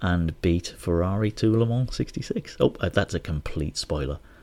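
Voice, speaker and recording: A man speaks at a moderate pace in a very deep, low voice with a dark, mellow tone. The recording is very clean, with a silent background. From northeast England, Hartlepool. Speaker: podcast host. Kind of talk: casual solo podcast monologue.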